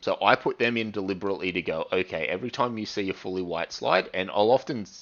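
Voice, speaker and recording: A very fast man's voice, fairly low in pitch, with ordinary pitch variation. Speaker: university lecturer. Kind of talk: recorded lecture. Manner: energetic.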